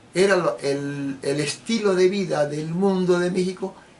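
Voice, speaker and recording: A man speaks in a high pitch with noticeable noise behind him. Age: 70s. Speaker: political commentator. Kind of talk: political monologue.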